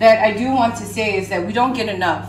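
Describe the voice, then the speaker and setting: A woman's voice is heard with audible room echo and light background noise around it. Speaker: home cook host. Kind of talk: cooking tutorial. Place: kitchen. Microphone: camera far.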